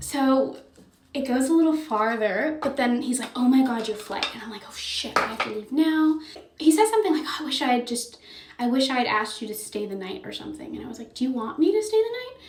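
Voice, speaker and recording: A woman talks at a very fast pace with a high pitch and lively intonation. Her loudness swings widely over noticeable background noise. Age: 20s. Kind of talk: casual storytime talk to camera. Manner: chatty, casual.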